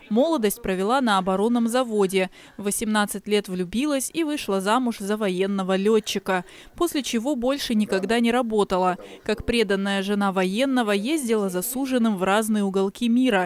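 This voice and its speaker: At a moderate pace, a woman speaks in a plain, everyday voice that is fairly high, with ordinary pitch variation and very even loudness. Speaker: TV news reporter. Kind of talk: TV news voice-over.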